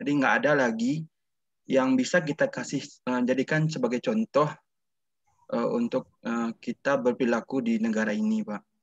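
Lively in intonation, a man talks at a moderate pace, the sound dry with no echo and the background quiet. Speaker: student. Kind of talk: class discussion. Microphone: video call.

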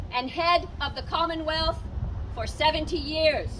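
A woman with an extremely high pitch speaks in a raised, projected voice over light background noise. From Nova Scotia, Canada. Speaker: town crier. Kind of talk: town crier proclamation, formal public cry. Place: street. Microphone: camera far.

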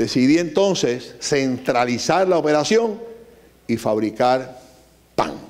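A man speaks fairly slowly in a fairly high pitch with very wide pitch swings. Vocal fry runs through his voice. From Puerto Rico. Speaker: business owner; guest. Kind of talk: lecture. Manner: animated. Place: hall. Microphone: handheld.

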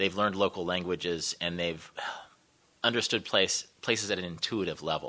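A man with a Midwestern US accent speaks at a moderate pace. His pitch is very deep and low, his tone bright and sharp, and his intonation fairly even. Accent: US Midwest. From Kansas, Wichita; Kansas. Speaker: travel writer; guest lecturer. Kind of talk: panel discussion. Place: hall.

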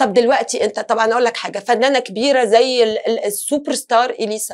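This woman has a high pitch and speaks at a fairly quick pace. Her intonation stays fairly even. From Tunisia. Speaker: singer and actress; interview guest, actress. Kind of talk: talk show interview. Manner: halting, many fillers and restarts. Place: studio.

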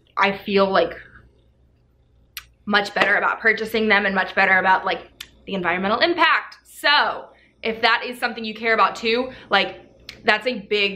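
At a moderate pace, a woman with a bright, sharp tone and ordinary pitch variation speaks with long, frequent pauses. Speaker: fitness vlogger. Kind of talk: casual product review vlog. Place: home room. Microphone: camera far.

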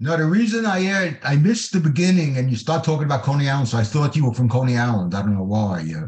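A very fast, somewhat breathy male voice in a New York accent, fairly high in pitch, with very wide pitch swings and hardly any pauses. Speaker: audience member asking a question. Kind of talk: Q&A question. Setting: video call. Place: home room. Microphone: video call.

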